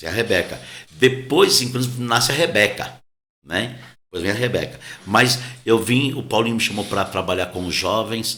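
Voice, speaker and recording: A man's medium-pitched voice carries a bright, sharp tone. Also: ordinary pitch variation, moderate pace. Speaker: pastor. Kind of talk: casual interview conversation. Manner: soft-spoken, quiet.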